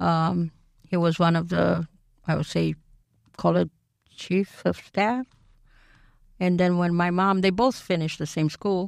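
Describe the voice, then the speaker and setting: A woman with a Romanian accent speaks at a fairly slow pace and a fairly low pitch, with fairly even intonation and very even loudness. Her speech has long, frequent pauses, and the sound is dry and close with no echo. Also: very clean recording, silent background. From Romania (Bucharest). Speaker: immigrant guest. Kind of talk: interview. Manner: halting.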